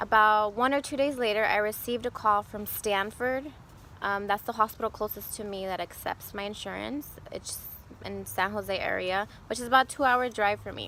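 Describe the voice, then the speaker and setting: At a moderate pace, a woman with fairly high pitch talks in an unremarkable speaking voice, her intonation fairly even but her loudness swinging widely. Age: 20s. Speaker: vlogger sharing personal cancer story. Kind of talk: personal testimony vlog. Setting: outdoors. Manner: casual, conversational.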